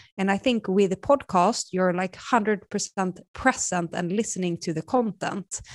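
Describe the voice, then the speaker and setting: In a very clean recording with a silent background and a dry, close sound with no echo, a woman with a Swedish accent speaks at a moderate pace and medium pitch, with ordinary pitch variation and hardly any pauses. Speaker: marketing executive. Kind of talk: interview.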